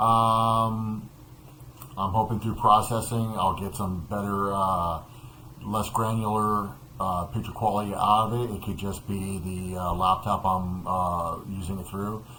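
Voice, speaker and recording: Audible room echo surrounds a man with a fairly low pitch. He talks at a fairly slow pace in a monotone, flat intonation. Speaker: product reviewer. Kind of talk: product review. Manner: halting, many fillers. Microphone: webcam's built-in dual mics via laptop.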